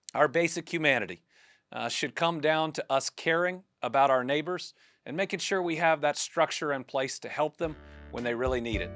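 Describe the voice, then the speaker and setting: At a fairly quick pace, the speech runs over background music. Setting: podcast.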